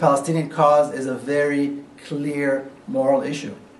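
There is audible room echo as a man talks in a fairly high pitch. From Jerusalem, Israel; Israel. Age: 50s. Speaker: author. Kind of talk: lecture. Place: hall. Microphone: camera far.

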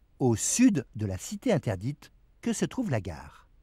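Dark and mellow in tone with vocal fry, a man speaks at a fairly slow pace with very wide pitch swings, the sound dry and close with no echo. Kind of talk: documentary narration over archival footage. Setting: voiceover. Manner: measured, formal, steady newsreel-style delivery.

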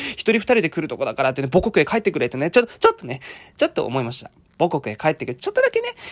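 A man at a very fast pace, with very wide pitch swings, big swings in loudness, and a quiet background. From Japan, Fukuoka; Japan. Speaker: vlogger. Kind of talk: vlog narration; casual vlog chat. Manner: casual, rambling. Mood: grumbling, dry humor. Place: cafe. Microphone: phone near.

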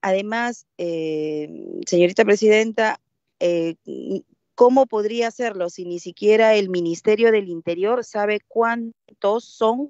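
With lively intonation and big swings in loudness, a woman speaks very slowly, the sound dry with no echo and the background quiet. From Peruvian provinces, Andean region; Peru. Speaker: legislator. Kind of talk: parliamentary debate. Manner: halting. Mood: firm, argumentative. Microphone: video call.

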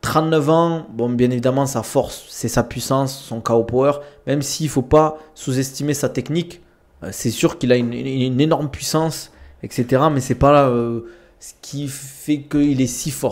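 Fairly even intonation marks a man talking at a fairly slow pace. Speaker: streamer, combat sports commentator. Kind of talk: casual live-stream commentary. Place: home room. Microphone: studio mic.

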